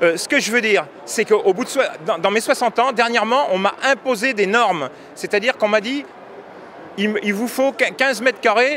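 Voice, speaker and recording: Against noticeable background noise, a man with a high voice speaks at a moderate pace with lively intonation. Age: 60s. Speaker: farmer and union member. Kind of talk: street interview. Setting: agricultural fair. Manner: halting, with repetitions.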